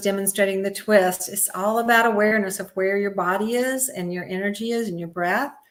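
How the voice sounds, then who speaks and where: A woman speaks at a moderate pace in a normal speaking voice. Her pitch is medium, with ordinary variation. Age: 60s. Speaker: yoga teacher and physical therapist. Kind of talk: interview. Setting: live stream.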